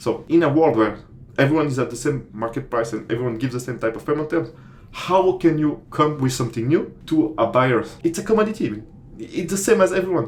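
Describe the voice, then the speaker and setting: A man with a non-native accent speaks at a fairly quick pace. His voice is somewhat breathy, with lively intonation. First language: not English. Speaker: commodity trader and online course creator. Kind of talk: tutorial. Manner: casual, hesitant with many fillers.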